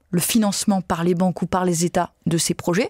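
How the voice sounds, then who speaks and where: A woman at a fairly slow pace in a dry sound with no echo. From southern France, Nîmes; southern France. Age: 30s. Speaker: politician, party spokesperson. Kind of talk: interview. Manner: hesitant with many fillers. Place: studio. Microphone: studio mic.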